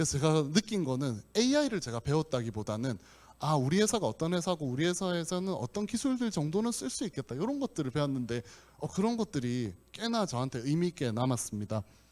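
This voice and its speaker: Talking very fast, a man uses a fairly high voice with very wide pitch swings. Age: 40s. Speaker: company president, conference speaker. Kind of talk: conference talk. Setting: conference hall with audience. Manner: hesitant fillers (uh).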